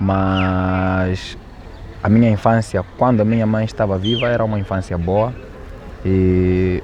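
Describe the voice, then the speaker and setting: A man speaks at a fairly slow pace with a fairly low pitch and a flat, monotone delivery. Noticeable background noise sits behind him. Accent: Mozambican. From Mozambique, Quilimane (Zambézia). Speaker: rapper. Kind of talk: documentary interview.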